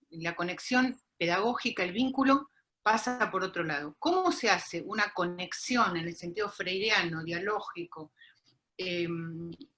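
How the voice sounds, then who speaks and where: At a fairly slow pace, a woman speaks in a normal speaking voice at a medium pitch with ordinary pitch variation. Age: 60s. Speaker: university lecturer in popular education. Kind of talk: panel discussion.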